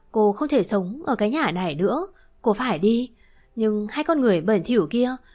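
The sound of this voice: An unforced reading voice moves through the text with lively intonation.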